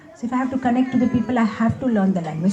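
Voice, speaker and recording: A high-pitched woman's voice with an Indian accent and ordinary pitch variation, over noticeable background noise. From India, Hyderabad. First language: Gujarati. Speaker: spiritual speaker. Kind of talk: Q&A talk.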